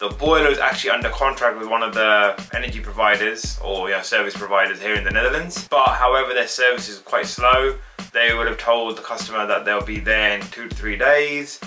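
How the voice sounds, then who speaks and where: A man talks at a fairly quick pace. Background music plays throughout. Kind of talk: casual vlog chat. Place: home room.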